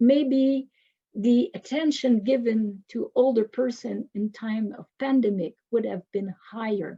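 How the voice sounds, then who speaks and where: At a very slow pace, the speaker talks in a Quebec accent. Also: woman. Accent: Québécois French accent in English. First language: French. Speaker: professor. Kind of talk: lecture.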